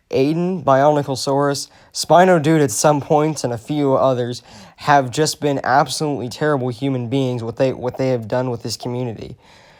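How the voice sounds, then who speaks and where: Quietly, a man talks at a moderate pace, with a fairly high pitch and fairly even intonation. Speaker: commentary YouTuber. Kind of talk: rant.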